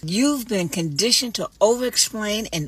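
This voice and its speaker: Lively intonation runs through a woman's speech despite noticeable background noise. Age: 60s. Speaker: older woman giving life advice. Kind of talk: motivational short monologue.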